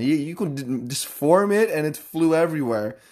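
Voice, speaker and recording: Speaking with a Dutch accent, a man keeps a moderate pace and ordinary pitch variation. The recording is very clean, with a silent background. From Netherlands, Amsterdam. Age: 20s. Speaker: podcast host. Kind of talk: casual chat. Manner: halting.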